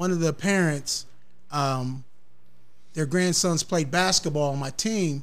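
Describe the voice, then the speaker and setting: Audible room echo surrounds a man with an American accent speaking at a fairly high pitch and ordinary pitch variation. His pace is fairly slow, with long, frequent pauses. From US Midwest, south side of Columbus, Ohio. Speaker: recreation center worker and kidney disease patient. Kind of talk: casual interview.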